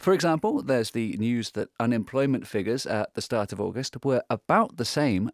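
A man with an unremarkable speaking voice talks at medium pitch and a moderate pace, with lively intonation. The sound is dry and close with no echo, on a very clean recording with a silent background. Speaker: radio host. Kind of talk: formal newsreading; solo news round-up. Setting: studio. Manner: formal, measured, newsreader delivery; conversational, with filler words.

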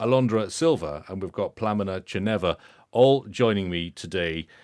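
Over a very clean, silent background, a man with a British accent speaks in a fairly low pitch with lively intonation. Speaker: podcast host. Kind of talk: interview. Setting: studio.

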